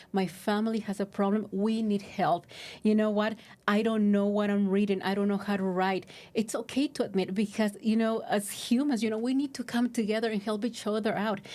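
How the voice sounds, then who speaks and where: On a very clean recording with a silent background, a woman with a Spanish accent talks at a fairly quick pace and fairly high pitch, her tone dark and mellow and her intonation fairly even. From Mexico. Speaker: recovery services outreach worker. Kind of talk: podcast interview. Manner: halting, many fillers.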